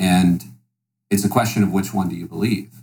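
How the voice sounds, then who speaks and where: There is music in the background as a man with an American accent speaks at a fairly quick pace. His pitch is fairly low, with ordinary pitch variation. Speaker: podcast guest. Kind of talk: political debate.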